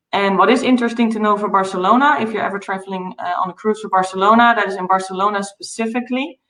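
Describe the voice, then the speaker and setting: Speaking in a Dutch accent at a medium pitch, a woman races along at a very fast pace with fairly even intonation and hardly any pauses. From Netherlands. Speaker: travel company founder. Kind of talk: interview.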